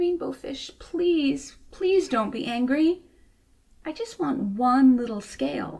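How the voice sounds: In a slow, high-pitched put-on character voice, a woman shows lively intonation, vocal fry and a slightly mellow tone.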